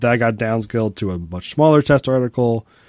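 A man with a dark, mellow tone speaks at a moderate pace with ordinary pitch variation. The sound is dry and close with no echo, in a very clean recording with a silent background. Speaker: space news podcast host. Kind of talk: casual chat.

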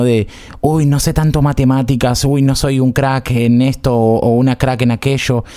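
A man speaks in a dark, mellow tone with an Argentine accent. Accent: Rioplatense Argentine Spanish. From Argentina, Buenos Aires area. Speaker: podcast host. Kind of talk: casual chat.

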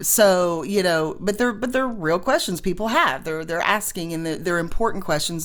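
A woman talks at a moderate pace in a plain, everyday voice. Her pitch is fairly low and varies in an ordinary way. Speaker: podcast host. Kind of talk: interview.

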